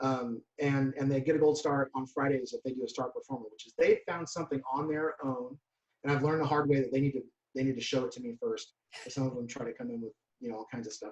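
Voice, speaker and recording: Talking at a very fast pace, a man with a fairly high, somewhat breathy voice keeps his intonation fairly even while his loudness swings widely. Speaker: band director. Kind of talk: conference presentation.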